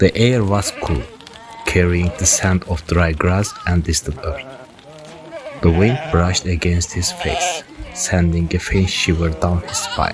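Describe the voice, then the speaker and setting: A man with a very deep, low pitch and a calm tone, at a fairly slow pace with ordinary pitch variation, over music in the background. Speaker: podcast host, city planner. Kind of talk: scripted narration. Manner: calm, measured storytelling.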